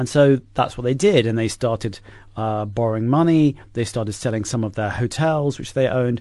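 In an English accent, the speaker talks at a fairly quick pace. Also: man, medium pitch for a man, ordinary pitch variation. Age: 50s. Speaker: author. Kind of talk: interview. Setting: studio.

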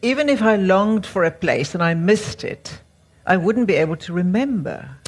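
This woman's voice is somewhat breathy, with very wide pitch swings. She keeps a moderate pace. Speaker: writer and interviewer. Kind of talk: onstage interview. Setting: stage with audience.

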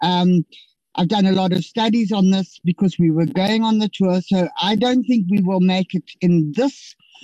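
A woman's dark, mellow voice at very even loudness, with a dry, close sound and no echo. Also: medium pitch for a woman, ordinary pitch variation, moderate pace. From Limpopo, South Africa. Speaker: member of parliament. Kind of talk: committee debate questions. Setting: virtual meeting.

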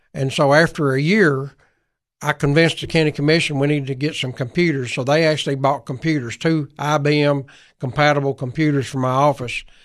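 This man speaks in a Tennessee accent at a fairly high pitch and a fairly quick pace. His intonation is fairly even, and the background is quiet. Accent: Southern US (Tennessee). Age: 70s. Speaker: former state legislator and county government official. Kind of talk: radio interview. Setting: radio studio.

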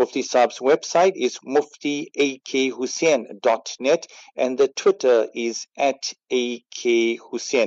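A man talks very slowly, with a medium pitch and fairly even intonation. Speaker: radio host. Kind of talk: radio presenting. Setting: studio. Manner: formal.

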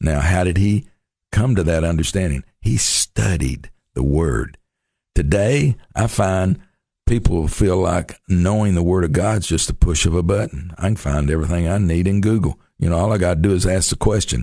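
In a very deep, low pitch, a man speaks at a moderate pace with a dark, mellow tone and ordinary pitch variation. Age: 60s. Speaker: missions pastor. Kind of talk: radio interview.

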